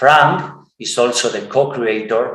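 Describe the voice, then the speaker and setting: A man with a non-native accent talks at a very slow pace in a medium pitch. Room echo is audible. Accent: rusty English, non-native. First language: Spanish. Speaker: podcast host. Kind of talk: interview. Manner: halting.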